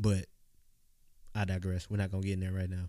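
A man with a Southern US accent and a dark, mellow tone is heard on a very clean recording with a silent background. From US South, Mississippi. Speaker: podcast host. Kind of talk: motivational monologue. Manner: casual, conversational.

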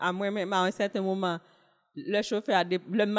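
On a very clean recording with a silent background, a woman has an ordinary speaking voice at a medium pitch with fairly even intonation. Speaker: former journalist and diplomat, single mother. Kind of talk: casual chat.

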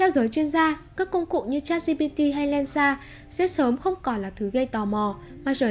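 A woman is speaking. Her intonation is lively. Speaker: tech news podcast host. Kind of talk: news reading. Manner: formal.

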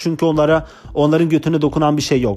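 Talking fairly quickly, a man has a dark, mellow tone. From Turkey (Kurdish). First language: Kurdish (speaking Turkish). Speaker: podcaster, former imam. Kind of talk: casual monologue. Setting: home recording. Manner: fast, words run together.

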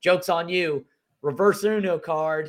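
Lively intonation marks this man's high-pitched voice, heard on a very clean recording with a silent background. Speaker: podcast co-host filling in. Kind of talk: casual chat.

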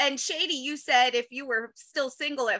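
A woman speaks at a moderate pace in a raised, projected voice. Her pitch is high, with ordinary variation. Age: 40s. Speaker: stand-up comedian and former teacher. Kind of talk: casual chat. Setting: video call.

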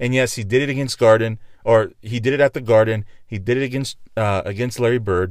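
Speaking in a normal speaking voice, a man has an American accent and a medium pitch. His pace is fairly quick and his intonation fairly even. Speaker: podcast host. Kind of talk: casual sports and commentary podcast monologue. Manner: filler-heavy, self-deprecating, conversational.

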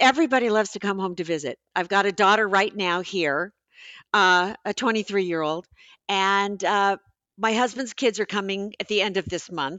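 In a plain, everyday voice, a woman speaks at a moderate pace with a medium pitch and ordinary pitch variation. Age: 60s. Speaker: author. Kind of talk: casual chat.

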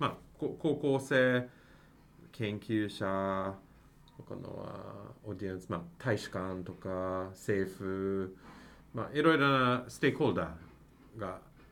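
With audible room echo, a man speaks at a fairly low pitch using lively intonation. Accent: English. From Canada, Mississauga near Toronto. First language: English (speaking Japanese). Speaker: university professor, international PR head. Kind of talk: interview. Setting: university building.

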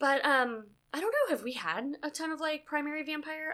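A woman's voice is raised and projected. It is high in pitch, with a bright, sharp tone. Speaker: podcast host. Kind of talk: casual chat. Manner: animated.

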